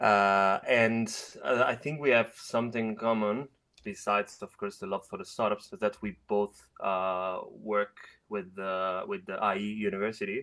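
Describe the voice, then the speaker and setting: With an Italian accent, a man talks at a moderate pace in a fairly low voice that is bright and sharp, his intonation fairly even. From Italy. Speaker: webinar participant. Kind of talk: casual chat. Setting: video call. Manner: halting.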